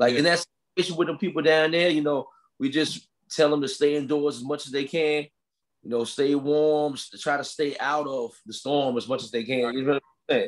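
At a fairly quick pace, an unremarkable speaking voice comes through over a quiet background. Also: man, fairly high pitch for a man, fairly even intonation. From military family, born in Philippines, lived in New York and Virginia. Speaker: musician and spiritual teacher; spiritual teacher. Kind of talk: casual interview. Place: home room. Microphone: video call.

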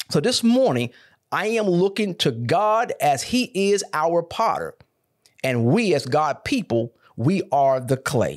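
Over a quiet background, a man's voice moves through very wide pitch swings. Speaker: pastor. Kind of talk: sermon. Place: studio. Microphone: studio mic.

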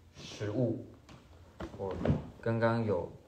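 Very slow speech from a man amid noticeable background noise. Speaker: actor. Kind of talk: livestream gift unboxing chat. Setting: solo phone livestream with earphone mic. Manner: casual, occasionally halting. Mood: cheerful, amused. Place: home room. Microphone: phone near.

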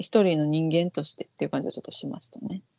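A woman speaks with a Kansai accent at a fairly low pitch. The background is quiet. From Japan. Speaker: vocal coach and YouTube host; vocal coach, YouTube host. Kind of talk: casual chat reacting to an audition show. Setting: online call. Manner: fast. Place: home room. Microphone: earbuds.

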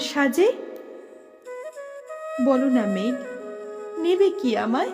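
Music plays in the background as a woman speaks. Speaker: recitation artist. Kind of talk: poetry reading.

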